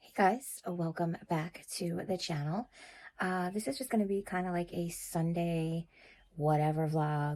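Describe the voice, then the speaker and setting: A woman speaks at a fairly slow pace in a relaxed, dark, mellow tone, her pitch fairly low with ordinary variation. The recording is very clean, with a silent background. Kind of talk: casual vlog talk to camera. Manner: relaxed, chatty.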